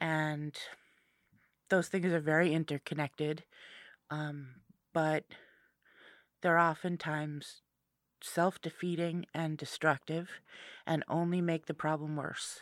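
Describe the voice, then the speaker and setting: A woman's very deep, low voice, flat and monotone, at a fairly slow pace with long, frequent pauses, dry and close with no echo, on a very clean recording with a silent background. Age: 40s. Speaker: entrepreneur and advocate. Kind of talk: radio interview. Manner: halting.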